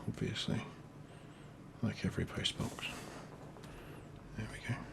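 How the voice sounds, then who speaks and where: A soft-spoken man with an English accent, amid noticeable background noise. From England. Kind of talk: ASMR doodling ramble, casual talk to camera. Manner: quiet, soft-spoken.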